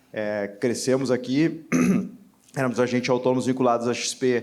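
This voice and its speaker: A man speaks at a moderate pace with a gaúcho accent, his intonation monotone and flat. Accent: Brazilian interior accent (gaúcho). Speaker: entrepreneur, panelist. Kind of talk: panel discussion.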